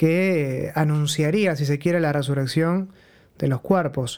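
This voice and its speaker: A man at a moderate pace with a fairly high pitch and fairly even intonation, in a very clean recording with a silent background. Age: 30s. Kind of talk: religious teaching talk. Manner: conversational.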